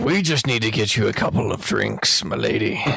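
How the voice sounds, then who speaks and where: A man doing a put-on character voice at a moderate pace. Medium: actual play.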